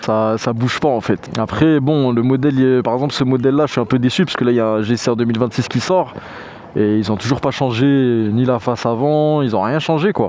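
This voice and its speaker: Speaking at a fairly quick pace, a man with a medium-pitched voice keeps his loudness very even over noticeable background noise. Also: ordinary pitch variation. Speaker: motorcycle vlogger. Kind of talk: casual Q&A vlog. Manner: casual with many fillers.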